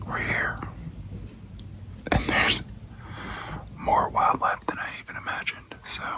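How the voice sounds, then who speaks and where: A man's whisper at a moderate pace, with long, frequent pauses, over noticeable background noise. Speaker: travel vlogger. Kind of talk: casual vlog to camera. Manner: soft-spoken.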